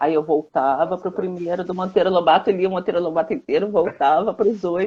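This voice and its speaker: A woman at a medium pitch and fairly quick pace, with ordinary pitch variation, a plain, everyday voice. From Brazil, Rio de Janeiro. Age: 60s. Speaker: children's book author. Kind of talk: interview on a live stream. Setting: Instagram live video call.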